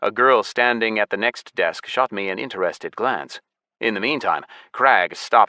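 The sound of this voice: An unforced reading voice over a quiet background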